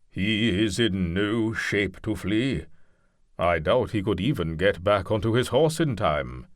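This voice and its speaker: A man puts on a character voice, pitched fairly low and held at a very even loudness. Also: fairly slow pace, lively intonation. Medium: read story. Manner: slow, measured.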